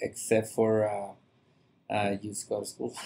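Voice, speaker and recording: A man with a medium pitch talks in a Mexican accent. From Mexico, Monterrey. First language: Spanish. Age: 40s. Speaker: chef. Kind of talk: podcast interview. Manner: halting, many fillers.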